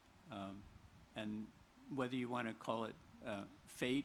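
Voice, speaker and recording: The speech is monotone and flat, at a fairly slow pace. Room echo is audible. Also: man. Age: 70s. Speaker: memoir coauthor. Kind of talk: book talk conversation. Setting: outdoor stage with audience. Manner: halting, many fillers.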